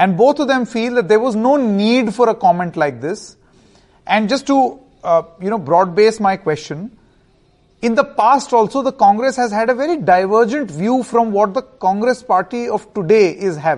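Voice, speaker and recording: With an Indian accent and a high pitch, a man talks at a moderate pace with lively intonation. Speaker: TV debate host. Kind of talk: news debate moderation, formal. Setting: studio.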